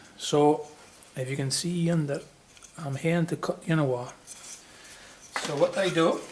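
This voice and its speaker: The speaker talks at a fairly slow pace, with long, frequent pauses. Noticeable background noise runs underneath. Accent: Shetland. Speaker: woodworker, furniture maker. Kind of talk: woodworking tutorial, casual talk to camera.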